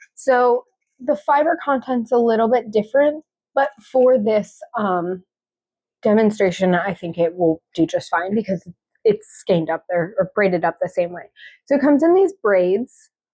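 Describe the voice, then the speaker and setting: A woman's dark, mellow, fairly high voice at a moderate pace, with very wide pitch swings and a dry, close sound with no echo. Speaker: knitting and spinning vlogger. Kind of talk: tutorial. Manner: casual, with fillers.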